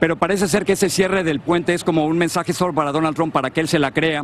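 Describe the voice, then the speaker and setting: A very fast pace with fairly even intonation, dry sound with no echo, and light background noise. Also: man. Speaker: TV news reporter. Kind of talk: live news report. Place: street. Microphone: handheld.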